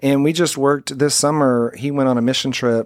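An unremarkable speaking voice from a man, fairly quick in pace, with ordinary pitch variation, on a very clean recording with a silent background. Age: 40s. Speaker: church podcast host. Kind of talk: casual chat. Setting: studio.

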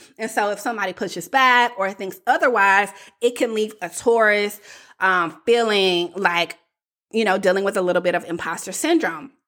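In a Southern US accent, a woman with medium pitch and a bright, sharp tone speaks at a moderate pace with ordinary pitch variation. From US South. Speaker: coach and podcast host. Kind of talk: solo podcast monologue.

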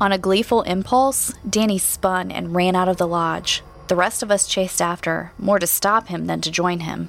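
A woman's medium-pitched voice in a dramatic tone, at a moderate pace with hardly any pauses and ordinary pitch variation, over noticeable background noise. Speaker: podcast host and narrator. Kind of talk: scripted horror narration, audio drama. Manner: dramatic, suspenseful storytelling.

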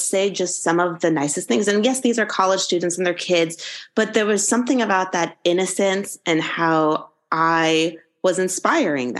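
A woman with an American accent uses an ordinary speaking voice at a fairly slow pace with ordinary pitch variation against a quiet background. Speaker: college anatomy professor, former anesthesiologist. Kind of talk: interview, conversational.

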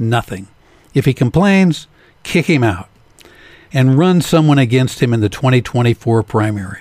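At a moderate pace, a man with a medium pitch speaks with lively intonation in a dry, close sound with no echo. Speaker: political commentator. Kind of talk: angry political rant, scripted opinion commentary. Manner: indignant, emphatic, biting sarcasm.

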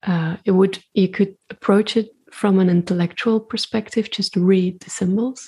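At a fairly slow pace, a woman speaks at medium pitch in a dark, mellow, somewhat breathy tone with fairly even intonation. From Belgium. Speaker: intuitive artist and spiritual practitioner. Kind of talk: casual interview conversation.

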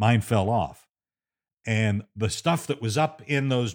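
On a very clean recording with a silent background, a man with a medium pitch talks at a very slow pace using lively intonation. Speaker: radio host and storyteller. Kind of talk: storytelling monologue, recounting a tense personal memoir. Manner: conversational, building suspense, with frequent fillers.

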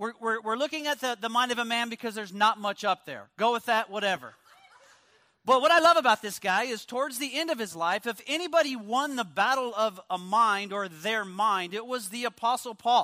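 A raised, projected male voice at an extremely high pitch, bright and sharp in tone, at a fairly quick pace. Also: ordinary pitch variation. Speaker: guest preacher. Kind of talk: sermon. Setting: church. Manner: loud.

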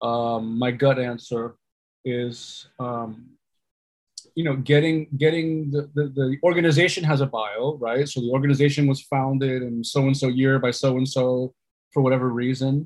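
The man's voice sits at a medium pitch. He keeps a moderate pace and fairly even intonation. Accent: New York. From New York, Puerto Rican family. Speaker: storytelling consultant and meditation instructor. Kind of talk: interview.

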